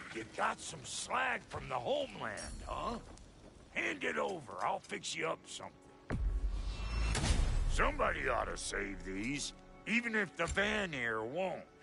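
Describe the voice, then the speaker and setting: With clear music in the background, someone does a raspy, put-on character voice, leaving long, frequent pauses. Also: man, fairly slow pace. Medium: video game. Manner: brash, crude.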